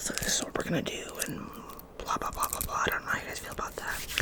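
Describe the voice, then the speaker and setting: A woman whispers at a fairly quick pace. Noticeable background noise runs underneath. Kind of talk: ASMR soft-spoken rambles to camera. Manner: fast, chatty, repetitive.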